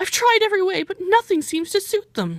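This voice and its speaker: A squeaky, put-on character voice at an extremely high pitch and a fairly quick pace. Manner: tearful, sobbing.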